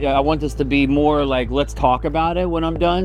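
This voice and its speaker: A man is speaking here. Room echo is audible, and there is noticeable background noise. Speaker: realtor. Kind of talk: talk to a group of agents. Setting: outdoors, speaking to a group. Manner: loud; casual, hesitant with many ums.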